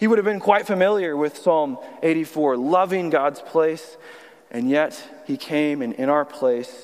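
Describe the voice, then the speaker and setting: There is noticeable background noise as a man with an American accent talks fairly slowly, fairly high in pitch, with lively intonation. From Texas (Austin). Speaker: youth pastor, guest preacher. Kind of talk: sermon. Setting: church service.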